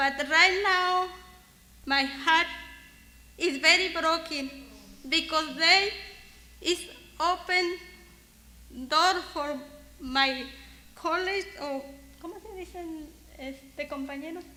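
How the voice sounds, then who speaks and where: Using a raised, projected voice with an extremely high pitch and a Spanish accent, a woman speaks very slowly with long, frequent pauses, fairly even intonation and big swings in loudness. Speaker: worker speaking at memorial. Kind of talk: eulogy. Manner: halting.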